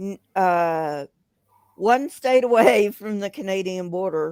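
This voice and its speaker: A woman with a slight Southern accent at a medium pitch, very slow pace, long and frequent pauses, ordinary pitch variation and big swings in loudness, in a dry, close sound with no echo. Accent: slight southern twang. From US South. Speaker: caller on live stream. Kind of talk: casual chat. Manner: halting.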